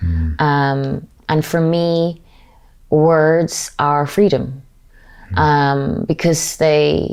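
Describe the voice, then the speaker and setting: A woman's very deep, low voice with an Irish accent and ordinary pitch variation. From Ireland. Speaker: actor. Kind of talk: interview answer.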